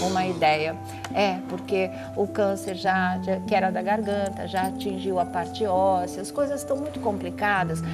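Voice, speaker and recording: A woman keeps a moderate pace while clear music plays behind her. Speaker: TV talk show host. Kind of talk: TV talk show presentation. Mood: concerned, somber news. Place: studio.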